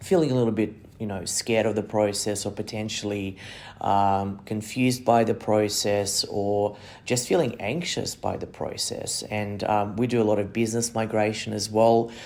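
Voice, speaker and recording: At a moderate pace, a man with an Australian accent talks at a fairly low pitch with fairly even intonation. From non-English-speaking country, came to Australia at ten. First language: not English. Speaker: migration agent and podcast host. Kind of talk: monologue. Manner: hesitant, many fillers and repeated words.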